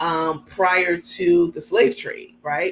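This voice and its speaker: In an American accent, a woman with a fairly low pitch talks in an animated tone at a fairly slow pace. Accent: New York accent, comes out when angry. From New York. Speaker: livestream host. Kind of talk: casual chat reading live comments.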